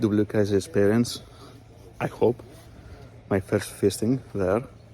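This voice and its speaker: A man with a Greek accent and a fairly low pitch. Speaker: fishing vlogger. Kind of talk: vlog narration. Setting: in a car. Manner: halting.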